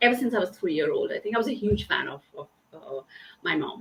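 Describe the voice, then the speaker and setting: She is a woman with a Bengali accent. Her pitch sits fairly high. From eastern India. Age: 30s. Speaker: diversity and inclusion consultant. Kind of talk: interview conversation. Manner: halting, many fillers.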